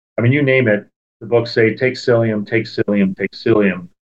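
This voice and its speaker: A man with a plain, everyday voice, medium pitch, ordinary pitch variation, and a fairly quick pace. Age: 50s. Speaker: proctologist. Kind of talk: casual interview.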